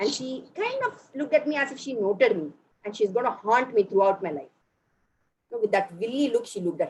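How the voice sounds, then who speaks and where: Somewhat breathy and at a moderate pace, a woman with a Tamil accent and medium pitch speaks with very wide pitch swings. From Bihar, India, then Chennai. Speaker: motivational speaker. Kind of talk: motivational talk.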